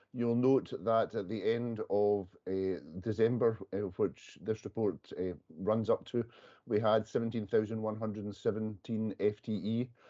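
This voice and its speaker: A dark, mellow tone carries this voice with a Scottish accent, which moves at a fairly slow pace with fairly even intonation. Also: man, fairly low pitch for a man. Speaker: police workforce official. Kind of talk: committee meeting report. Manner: halting.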